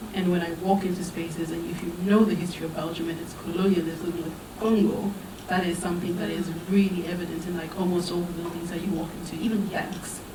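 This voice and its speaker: A woman talks very fast in a fairly low, monotone voice with flat intonation. Room echo is audible, and there is noticeable background noise. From southern Africa (Zimbabwe, Botswana). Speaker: theatre maker, panelist. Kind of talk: panel discussion. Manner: soft-spoken.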